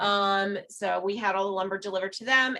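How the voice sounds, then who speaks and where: A loud, bright, sharp voice at a moderate pace. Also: woman. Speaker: parks committee member. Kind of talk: committee meeting discussion.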